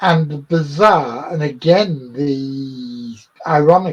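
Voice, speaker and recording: A man does the talking. There is a somewhat breathy edge to his voice. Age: 60s. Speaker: cryptozoologist. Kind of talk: interview.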